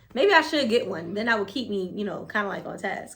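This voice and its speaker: This voice has a bright, sharp tone and an American accent, moving at a very fast pace with lively intonation. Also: woman. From New Jersey. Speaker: preschool teacher and YouTuber. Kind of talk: casual talk to camera. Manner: halting with many repetitions.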